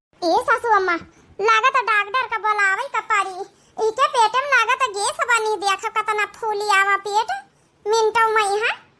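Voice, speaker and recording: A female-sounding voice does a cartoonish character at an extremely high pitch. She speaks at a fairly slow pace. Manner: commanding.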